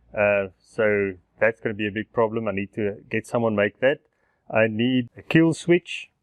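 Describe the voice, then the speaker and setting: Here is a man with a plain, everyday voice at a fairly low pitch. He keeps a moderate pace with ordinary pitch variation. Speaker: motorcycle DIY vlogger. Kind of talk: casual vlog tutorial.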